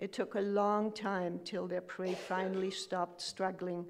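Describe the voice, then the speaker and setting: The delivery is monotone and flat, moving at a fairly slow pace. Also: woman. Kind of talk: eulogy reading. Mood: fond, reflective remembrance. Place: church. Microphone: podium.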